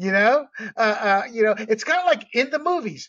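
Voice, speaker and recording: Pitched extremely high, a man's voice swings very widely in pitch. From Panama. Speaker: podcast host. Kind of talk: casual chat.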